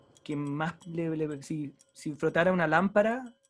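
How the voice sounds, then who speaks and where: A man at a fairly slow pace with ordinary pitch variation, music playing in the background. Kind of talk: book discussion conversation.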